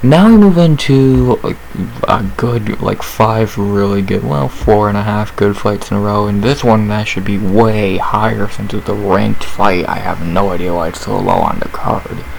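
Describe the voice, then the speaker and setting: Audible room echo surrounds a man speaking at a moderate pace with fairly low pitch. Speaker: MMA fight analyst YouTuber. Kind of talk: casual fight breakdown monologue. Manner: casual, conversational with fillers.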